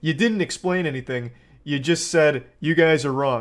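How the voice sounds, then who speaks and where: The recording is very clean and the background silent. A man speaks at moderate speed. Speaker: online commentator. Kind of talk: reaction commentary. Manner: deadpan, calm.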